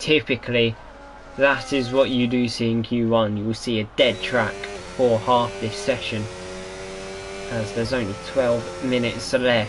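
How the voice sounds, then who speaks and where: With noticeable background noise behind him, a man at a medium pitch talks at a fairly slow pace in fairly even intonation, pausing long and often. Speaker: sim racing commentator. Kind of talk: live commentary. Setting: live stream.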